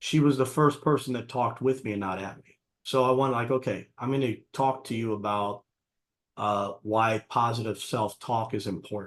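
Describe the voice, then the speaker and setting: Using an ordinary speaking voice, a man talks at a moderate pace and medium pitch, his intonation fairly even but his loudness swinging widely. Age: 60s. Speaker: martial arts coach and life coach. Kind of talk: interview conversation.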